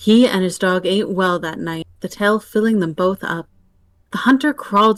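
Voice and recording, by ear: Someone reads aloud, using a natural voice. The pitch moves in an ordinary way.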